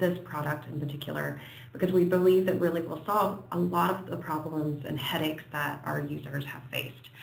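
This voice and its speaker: Someone speaks with an American accent. There is noticeable background noise. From United States. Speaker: software company presenter. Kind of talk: webinar presentation. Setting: online webinar. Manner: hesitant, many fillers.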